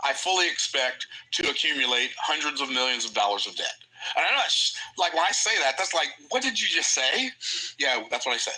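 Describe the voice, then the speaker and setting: Noticeable background noise is present. The speaker talks at a fairly quick pace. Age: 60s. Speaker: livestream host, entrepreneur and financial educator. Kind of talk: livestream lecture on personal finance. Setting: livestream. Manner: casual, repetitive with frequent self-restarts.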